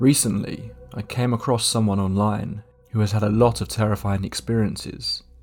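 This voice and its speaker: A man's solemn, dramatic tone, fairly low in pitch, with music in the background. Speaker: horror story narrator. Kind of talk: scripted narration of first-person ghost story. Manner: measured, solemn, eerie tone with dramatic pauses.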